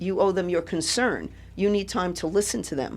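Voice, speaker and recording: At a moderate pace, a woman with a New York accent speaks at medium pitch on a very clean recording with a silent background. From New York City (Brooklyn). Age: 70s. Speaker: political candidate. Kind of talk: radio interview.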